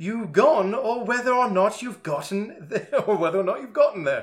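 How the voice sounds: Natural reading voice only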